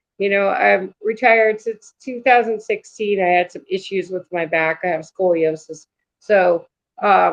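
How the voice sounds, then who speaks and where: A woman talks fairly slowly with lively intonation. She has a normal speaking voice. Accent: American. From New York. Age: 60s. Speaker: paranormal experiencer. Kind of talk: interview.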